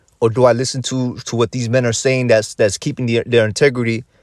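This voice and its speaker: A man talks at a fairly quick pace. The sound is dry and close with no echo, in a very clean recording with a silent background. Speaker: religious teacher. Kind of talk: sermon. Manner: fast; halting.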